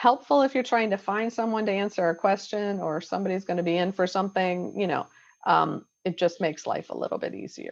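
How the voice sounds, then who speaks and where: A woman talks at a fairly quick pace with vocal fry. Her intonation is lively. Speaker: class instructor. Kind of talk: tutorial. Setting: video call. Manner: fast.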